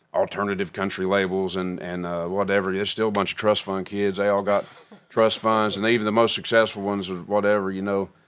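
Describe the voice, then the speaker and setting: A man with an American accent, fairly low in pitch, at a fairly quick pace in a monotone, flat intonation. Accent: mountain accent, kept on purpose. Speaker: country musician. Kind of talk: podcast interview. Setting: recording studio.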